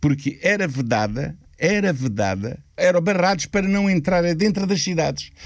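This man's voice sits high in pitch and swings very widely up and down, while his loudness stays very even at a moderate pace. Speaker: Roma elder. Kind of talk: interview.

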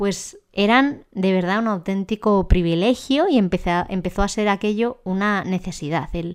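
This woman has a plain, everyday voice at a medium pitch with ordinary pitch variation. She talks at a moderate pace in a very clean recording with a silent background. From Spain, Ávila. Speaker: podcast host, occupational therapist. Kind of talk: personal monologue podcast.

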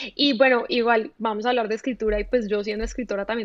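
The delivery is very fast, with fairly even intonation. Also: woman. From Colombia, Medellín. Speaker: writer. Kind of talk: casual interview.

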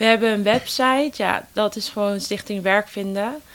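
This woman talks at a fairly slow pace. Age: 20s. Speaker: volunteer youth ambassador for a job-search foundation. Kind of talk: interview. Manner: hesitant with many fillers.

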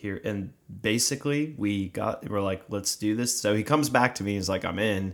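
This man has a plain, everyday voice, fairly low in pitch, with an American accent and ordinary pitch variation. He speaks with hardly any pauses on a very clean recording with a silent background. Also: moderate pace. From South Jersey, US. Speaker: podcast co-host, ministry worker. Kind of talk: casual chat. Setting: studio with cameras.

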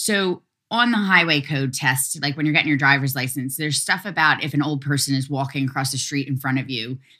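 At a fairly quick pace, a woman with a very deep, low pitch and a bright, sharp tone speaks in a Philadelphia accent. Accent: Philadelphia American. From US, Philadelphia. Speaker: activist. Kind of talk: interview.

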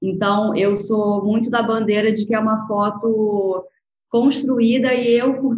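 At a fairly slow pace, a woman talks in a somewhat breathy voice of medium pitch with fairly even intonation. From Brazil, Rio de Janeiro. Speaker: food photographer and agency founder. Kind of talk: interview. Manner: soft, delicate.

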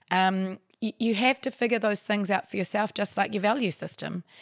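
With a New Zealand accent, a woman speaks at a moderate pace in a fairly high voice, in a very clean, dry, close recording with no echo and a silent background. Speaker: actor and writer. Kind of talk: casual chat.

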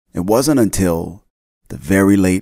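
With an American accent, a man talks at a fairly slow pace on a very clean recording with a silent background. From North Jersey, US. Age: 50s. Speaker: podcast host. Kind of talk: casual monologue. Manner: animated.

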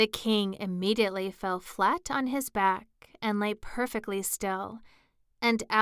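Simple, plain reading aloud

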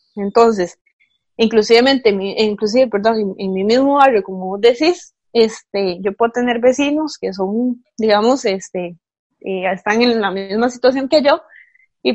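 At a fairly slow pace, a woman with an unremarkable speaking voice talks in a fairly high pitch with ordinary pitch variation. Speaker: podcast co-host. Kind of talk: casual chat.

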